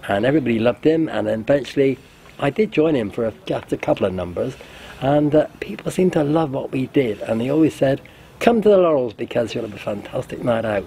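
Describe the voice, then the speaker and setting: At a very fast pace, a man with a medium pitch speaks with lively intonation over noticeable background noise. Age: 70s. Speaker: retired hotelier, interviewee. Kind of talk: interview testimony.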